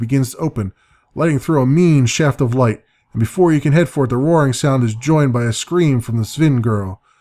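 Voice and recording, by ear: Over a quiet background, the speaker reads aloud in a natural voice, the pitch varying in an ordinary way.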